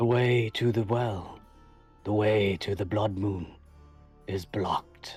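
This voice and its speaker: A put-on character voice moves at a fairly slow pace with long, frequent pauses. Faint music plays in the background. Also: man, fairly low pitch for a man. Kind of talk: archaic solemn speech. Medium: actual play. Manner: slow, cryptic, ominous.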